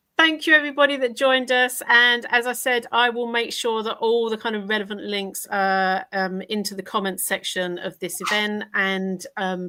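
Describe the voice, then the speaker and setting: With an Essex accent, a woman talks at a moderate pace and a fairly high pitch, with hardly any pauses. Her tone is bright and sharp, and her pitch variation is ordinary. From Essex, England. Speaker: podcast host. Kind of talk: live interview. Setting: live stream video call.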